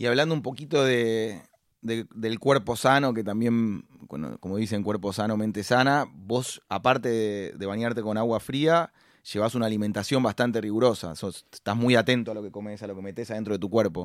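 In a very clean recording with a silent background, a man with a Rioplatense accent speaks at a medium pitch and a moderate pace, with ordinary pitch variation. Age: 30s. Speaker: podcast host, entrepreneur. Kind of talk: interview.

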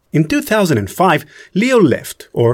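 A man speaks with an Israeli accent. His pitch swings very widely. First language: Hebrew. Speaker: podcast host and producer. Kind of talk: scripted narration; interview.

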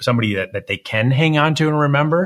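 This man's speech moves at a fairly quick pace. His pitch rises and falls in an ordinary way. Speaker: podcast host and portrait photographer. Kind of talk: interview podcast. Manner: fast; animated.

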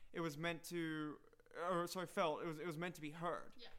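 The delivery is fairly quick, the tone bright and sharp, and the intonation monotone and flat. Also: man. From South Africa. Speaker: poet. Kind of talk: casual chat.

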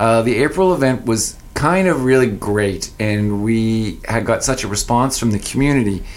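Audible room echo surrounds a man speaking at a medium pitch and a moderate pace with a Maritime Canadian accent. He hardly pauses, and his loudness stays very even. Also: ordinary pitch variation. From New Brunswick, Canada (Fredericton). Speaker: music artist manager and festival founder. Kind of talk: casual radio interview.

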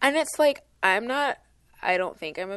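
Against a quiet background, a woman with a normal speaking voice talks at a moderate pace and with lively intonation. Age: 20s. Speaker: podcast co-host. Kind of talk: casual chat.

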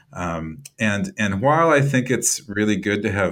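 In a very clean recording with a silent background, a man with an American accent talks at a fairly low pitch with lively intonation. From US Midwest, Iowa. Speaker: writer and nonprofit director. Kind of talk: interview. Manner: halting, many repeated words.

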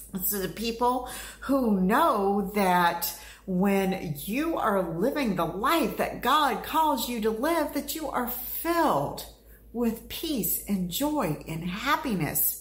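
A woman's fairly high voice at a very slow pace, with very wide pitch swings and audible room echo. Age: 50s. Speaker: podcast host, motivational speaker. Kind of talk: motivational monologue.

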